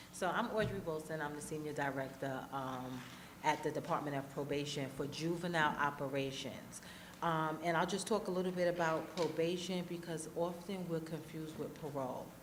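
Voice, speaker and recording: The intonation stays fairly even. Some room echo can be heard. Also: woman, very deep, low pitch for a woman. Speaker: probation official. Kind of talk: panel discussion. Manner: fast.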